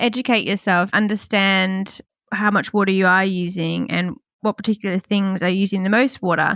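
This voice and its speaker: With an Australian accent, a woman talks at a moderate pace and medium pitch, her loudness very even and her intonation fairly even, against a quiet background in a dry, close sound with no echo. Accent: Australian twang. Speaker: water management engineer. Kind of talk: podcast discussion.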